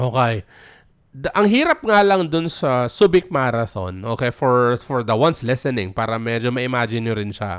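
A man's medium-pitched voice with a Filipino accent, lively intonation and a moderate pace, on a very clean recording with a silent background. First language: Tagalog. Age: 40s. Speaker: podcast host. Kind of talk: solo monologue podcast. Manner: casual code-switching, halting with fillers.

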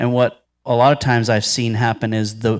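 A man with an American accent has an ordinary speaking voice at a medium pitch with fairly even intonation. The recording is very clean, with a silent background. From Ohio, Cincinnati-Dayton area. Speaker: pastor and theologian. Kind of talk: Q&A teaching session. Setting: church Sunday school class with audience.

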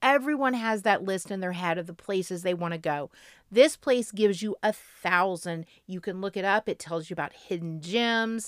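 On a very clean recording with a silent background and a dry, close sound with no echo, a woman with an unremarkable speaking voice and an American accent speaks at a moderate pace with lively intonation. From Florida. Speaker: travel podcast co-host. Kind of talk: casual chat.

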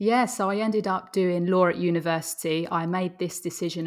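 A woman with an Essex accent, fairly low in pitch, at a moderate pace with fairly even intonation, in a very clean recording with a silent background. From Essex, England. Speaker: Amazon seller. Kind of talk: casual interview chat.

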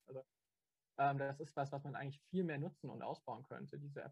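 A man talks very fast at a fairly high pitch, his intonation monotone and flat. His voice is somewhat breathy, and the sound is dry and close with no echo. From Stuttgart. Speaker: student and local party activist. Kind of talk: casual interview. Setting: video call.

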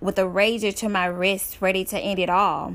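A woman with an American accent and an unremarkable speaking voice talks at a fairly slow pace. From Dallas, Texas. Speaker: author and public speaker. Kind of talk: testimony.

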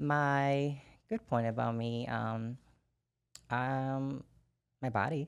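In a very clean recording with a silent background, a woman with a Brazilian accent speaks very slowly in a very deep, low voice, with ordinary pitch variation and long, frequent pauses. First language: Portuguese. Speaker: wellness bodybuilding competitor. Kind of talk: casual chat.

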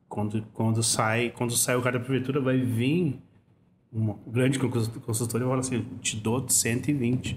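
Speaking fairly slowly, a man uses a medium pitch and a somewhat breathy voice with monotone, flat intonation. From southern Brazil, Porto Alegre. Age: 40s. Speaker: rapper. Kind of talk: casual interview chat.

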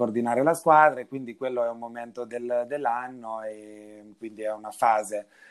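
With an ordinary speaking voice at medium pitch, a man talks at a moderate pace in fairly even intonation, with hardly any pauses. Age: 30s. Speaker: winery director. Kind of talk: casual chat.

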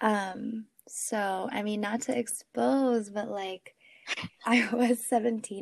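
A woman's fairly high-pitched voice. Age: 20s. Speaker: podcast guest. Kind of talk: casual chat. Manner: animated.

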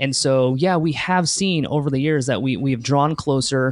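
Over a quiet background, a man talks with a normal speaking voice. His pitch is medium, with ordinary pitch variation. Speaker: podcast host and event founder. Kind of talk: interview chat.

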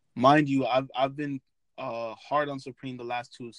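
A man with a New York accent talks at a fairly slow pace. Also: dry, close sound with no echo, very clean recording, silent background. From New York City (Brooklyn). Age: 20s. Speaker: sneaker YouTuber. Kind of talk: casual interview.

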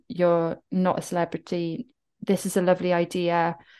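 A woman with a Welsh accent and medium pitch talks at a moderate pace over a quiet background. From South Wales, Welsh Valleys. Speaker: writer and wellbeing coach. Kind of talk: interview.

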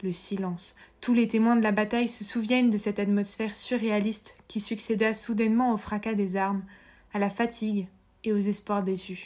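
Her intonation is monotone and flat, at a moderate pace. The woman's pitch is fairly high. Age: 20s. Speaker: podcast host, interviewer. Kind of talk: scripted narration.

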